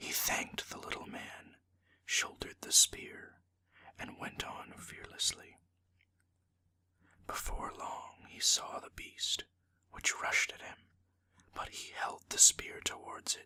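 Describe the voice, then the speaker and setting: Whispering comes at a very slow pace, broken by long, frequent pauses. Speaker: ASMR storyteller. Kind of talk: whispered storytelling reading of a folktale. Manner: whispered, soft.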